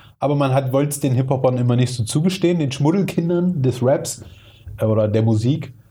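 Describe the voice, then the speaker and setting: A man talks fairly quickly at a medium pitch, his tone dark and mellow and somewhat breathy. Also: ordinary pitch variation. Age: 30s. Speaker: hip-hop podcast host. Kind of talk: casual chat.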